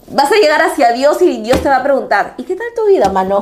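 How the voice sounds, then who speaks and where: The voice moves at a moderate pace with very wide pitch swings, amid noticeable background noise and audible room echo. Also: woman. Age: 40s. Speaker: tarot reader. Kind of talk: tarot reading.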